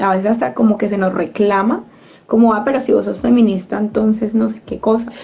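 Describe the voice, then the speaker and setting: Fairly even intonation runs through a woman's fairly high-pitched voice, a plain, everyday voice. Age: 30s. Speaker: community radio host. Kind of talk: casual discussion.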